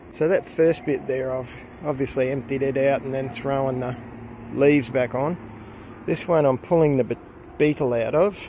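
In an Australian accent, the speaker keeps a moderate pace and fairly even intonation, with long, frequent pauses. The sound is dry with no echo, and there is light background noise. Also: man, medium pitch for a man. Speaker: gardening vlogger. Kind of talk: casual vlog narration. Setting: outdoors. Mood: pleased, relaxed. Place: garden. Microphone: phone near.

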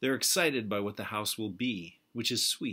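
A man with a fairly low pitch speaks in a bright, sharp tone with ordinary pitch variation. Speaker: poet. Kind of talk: poetry reading, narrative poem read aloud to camera. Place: home room. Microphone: webcam.

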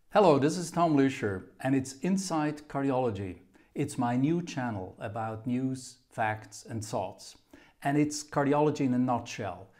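Over a quiet background, a man talks at a fairly slow pace with lively intonation. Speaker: channel host. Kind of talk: channel introduction to camera. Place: office. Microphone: camera far.

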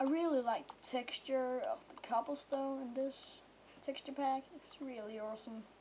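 A woman's high-pitched voice at a moderate pace, with fairly even intonation and big swings in loudness. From Denmark. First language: Danish. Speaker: gamer. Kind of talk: casual gameplay commentary.

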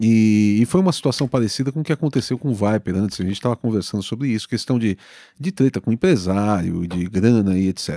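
Against a quiet background with a dry, echo-free sound, a man talks at a fairly quick pace in a fairly low voice with a dark, mellow tone and lively intonation. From Brazil. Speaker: podcast host and musician; podcast host. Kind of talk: casual interview chat. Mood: friendly, reminiscing. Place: home room. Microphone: studio mic.

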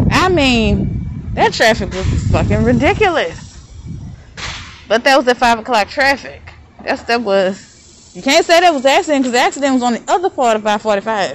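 A woman speaks in a high pitch with very wide pitch swings, the sound dry with no echo. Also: moderate pace. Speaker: vlogger. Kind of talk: casual vlog monologue. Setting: outdoors. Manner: rambling, casual. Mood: annoyed about traffic. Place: street. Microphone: phone near.

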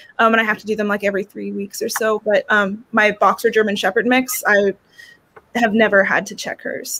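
The pace is fairly quick. The intonation stays monotone and flat. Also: woman, fairly high pitch for a woman. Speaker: dog groomer; guest. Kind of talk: casual chat. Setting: video call. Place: home room.

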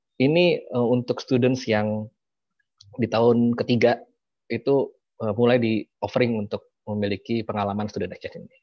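Against a quiet background, a man speaks at a moderate pace with fairly even intonation. His loudness swings widely. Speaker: university recruitment head; presenter. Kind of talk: presentation. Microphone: video call.

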